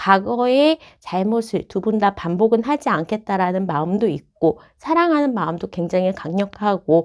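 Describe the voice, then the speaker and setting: This woman speaks at a moderate pace with very wide pitch swings. The recording is very clean, with a silent background. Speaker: tarot reader. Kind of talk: tarot reading to camera.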